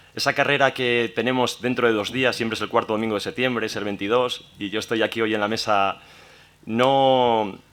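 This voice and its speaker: This man's pitch sits in the medium range, and he keeps a moderate pace. He uses a normal speaking voice with fairly even intonation. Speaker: round table moderator. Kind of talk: panel introduction.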